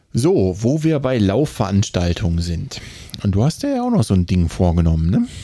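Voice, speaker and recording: This man has a normal speaking voice with a fairly low pitch. He talks at a moderate pace with lively intonation. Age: 30s. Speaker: running podcast co-host. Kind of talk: casual chat. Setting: remote recording.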